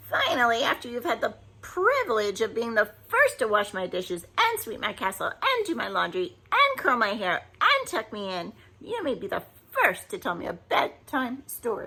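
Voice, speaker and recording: A woman puts on a character voice, cackling at a fairly high pitch. She moves at a moderate pace. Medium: read story. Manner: cackling, bossy.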